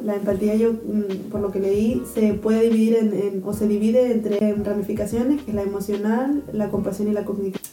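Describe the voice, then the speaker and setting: A woman with a fairly high pitch talks at a moderate pace and fairly even intonation, with audible room echo and noticeable background noise. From Canary Islands, Spain. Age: 20s. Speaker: podcast co-host, biochemistry student. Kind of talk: casual chat.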